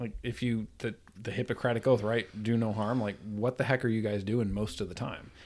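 A man with an upstate New York accent, fairly quick and fairly even in intonation, on a very clean recording with a silent background. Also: medium pitch for a man. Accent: upstate New York American. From upstate New York (Troy, near Albany). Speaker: chiropractor and father. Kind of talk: casual chat.

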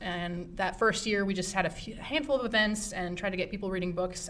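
Noticeable background noise sits behind a woman's medium-pitched voice. She talks at a very fast pace. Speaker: librarian and program supervisor. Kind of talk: casual interview chat. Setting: library.

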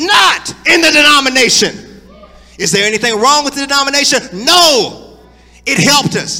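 A raised, projected voice with an animated tone and lively intonation moves at a moderate pace against noticeable background noise. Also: man, extremely high pitch for a man. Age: 40s. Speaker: pastor. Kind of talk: sermon.

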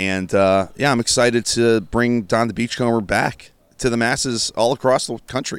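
A man with a plain, everyday voice speaks at a moderate pace and a medium pitch. His intonation is fairly even, and the recording is very clean, with a silent background. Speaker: restaurant art director. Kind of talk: casual chat. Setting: on location at an event.

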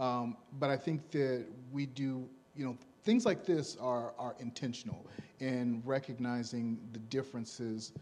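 A man speaks at medium pitch in a plain, everyday voice. His pace is fairly slow and his intonation fairly even. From Gary, Indiana. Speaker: church member panelist. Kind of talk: panel discussion. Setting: church service.

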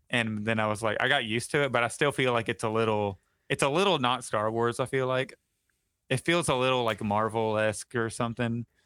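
Using a normal speaking voice with an American accent, a man talks at a fairly quick pace, with a medium pitch, ordinary pitch variation and very even loudness. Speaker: podcast host. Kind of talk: casual chat.

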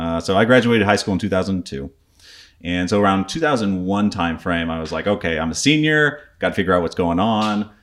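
An unremarkable speaking voice, a man's is fairly low in pitch, with lively intonation, a fairly quick pace and an American accent. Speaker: army veteran, prepping expert. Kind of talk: casual interview.

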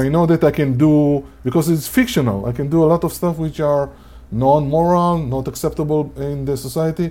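A man with an Israeli accent, fairly high-pitched, at a moderate pace with ordinary pitch variation. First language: Hebrew. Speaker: podcast host and gamification researcher. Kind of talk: casual chat. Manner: animated.

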